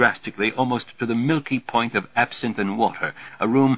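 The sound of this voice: The voice reads in an unforced way, its intonation staying fairly even.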